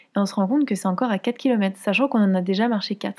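Speaking at a very fast pace, a woman has a dark, mellow tone, medium pitch and fairly even intonation on a very clean recording with a silent background. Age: 20s. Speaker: podcast host. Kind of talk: personal storytelling.

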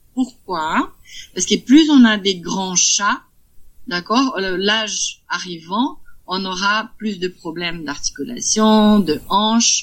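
A woman with a Brazilian accent speaks at a very slow pace and a medium pitch. Her voice is somewhat breathy, with lively intonation. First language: Portuguese (speaking French). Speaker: cat breeder. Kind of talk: interview. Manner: halting.

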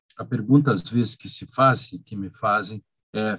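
Somewhat breathy, a man talks at a fairly slow pace. His pitch varies in an ordinary way. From Rio Grande do Sul, Brazil. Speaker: law professor. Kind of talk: interview. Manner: animated.

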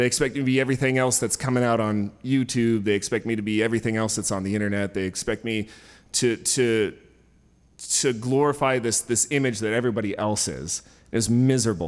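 In a very clean recording with a silent background, a man talks at a fairly quick pace with a medium pitch and ordinary pitch variation. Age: 30s. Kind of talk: live storytelling. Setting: stage with audience.

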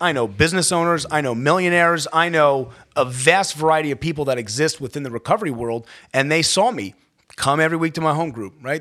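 A man with an American accent talks fairly quickly in a fairly high voice with lively intonation and a plain, everyday voice. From Maryland, Baltimore County. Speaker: healthcare executive in addiction recovery. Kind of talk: personal testimony in interview.

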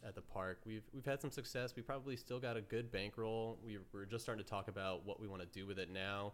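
A man's normal speaking voice, fairly low in pitch, with an American accent and fairly even intonation. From upstate New York, near Amsterdam. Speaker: podcast host. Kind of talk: casual chat.

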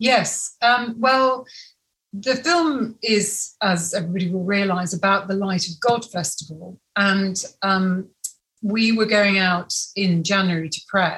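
At a fairly slow pace, a woman with a normal speaking voice talks at medium pitch with ordinary pitch variation. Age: 50s. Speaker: film director. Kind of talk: interview.

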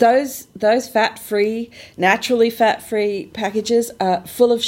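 Pitched fairly high, a woman speaks at a fairly slow pace. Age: 50s. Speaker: podcast host. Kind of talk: interview; scripted narration.

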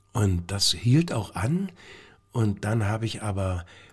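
Fairly slow speech comes in a somewhat breathy voice. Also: man. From Brandenburg, Lower Lusatia (Lieberose near Cottbus). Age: 60s. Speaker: stage actor. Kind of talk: casual interview.

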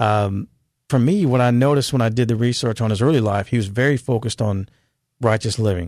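Speaking in an American accent with an unremarkable speaking voice, a man talks at a fairly quick pace and medium pitch, with ordinary pitch variation, over a quiet background. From California. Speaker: author and school teacher. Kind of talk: interview about faith.

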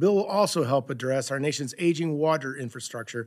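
Here is a man with an ordinary speaking voice, fairly high in pitch with ordinary pitch variation. He talks at a fairly quick pace. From US Midwest. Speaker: congressman. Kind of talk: formal committee statement.

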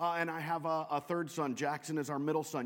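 At a very fast pace, a speaker with an American accent talks in a very clean recording with a silent background. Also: man. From US Pacific Northwest (Western Washington). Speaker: pastor. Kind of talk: sermon.

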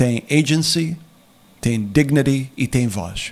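A man's fairly high voice moves at a very slow pace. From USA, Portuguese immigrant family. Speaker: former political adviser. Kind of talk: interview. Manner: halting.

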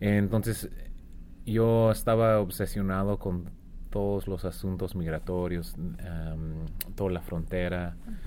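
A man's very deep, low voice with a dark, mellow tone, fairly even intonation, a very slow pace and audible room echo. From Arizona, US. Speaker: author, former border patrol agent. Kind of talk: interview. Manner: halting, many fillers and repetitions.

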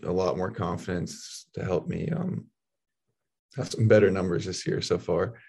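The man's delivery comes at a moderate pace. His voice sounds somewhat breathy. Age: young. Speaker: college baseball pitcher. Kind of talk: interview.

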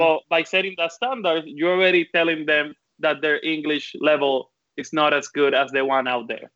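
With a strong Puerto Rican accent, a man speaks at a fairly high pitch with ordinary pitch variation. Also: moderate pace. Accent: thick Puerto Rican (Caribbean Spanish). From Puerto Rico. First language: Spanish. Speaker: design professor. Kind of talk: panel discussion. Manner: talkative, animated.

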